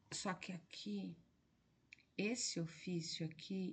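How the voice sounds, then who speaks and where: Soft-spoken and somewhat breathy, a woman talks at a fairly slow pace with ordinary pitch variation amid audible room echo. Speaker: exam-prep teacher. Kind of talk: lecture. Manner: soft-spoken, speaking low at 1am.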